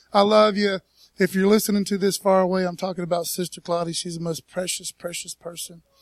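A man's high voice with ordinary pitch variation in a dry, close recording with no echo. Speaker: preacher. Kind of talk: sermon. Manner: fast; animated.

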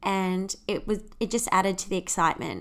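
This very clean recording with a silent background features a woman with an Australian accent. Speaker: podcast host. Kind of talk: personal storytelling monologue.

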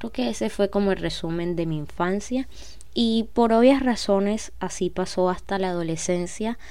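Her medium-pitched voice has a dark, mellow tone as the woman speaks at a moderate pace with ordinary pitch variation. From Colombia, Cartagena. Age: 20s. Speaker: podcast host. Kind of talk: personal monologue.

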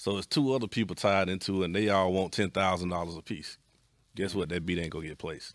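A man with an Atlanta accent, a very deep, low pitch, ordinary pitch variation and a very fast pace, on a very clean recording with a silent background. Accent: Southern US, Atlanta. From US South, East Atlanta. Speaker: music producer. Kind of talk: casual chat.

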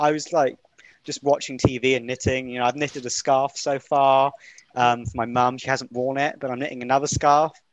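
A man with an unremarkable speaking voice talks at a fairly quick pace. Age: 20s. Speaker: university student. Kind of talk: casual chat.

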